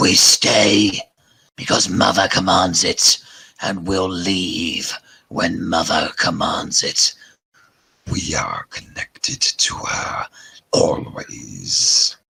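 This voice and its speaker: Putting on a growling character voice, a man speaks very slowly at a fairly low pitch, with long, frequent pauses. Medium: actual play. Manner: cold, haughty, scornful.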